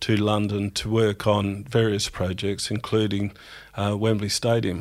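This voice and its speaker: A man in an Australian accent talks at a fairly low pitch, keeping a moderate pace. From South Australia (country town). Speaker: engineering company managing director. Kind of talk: interview.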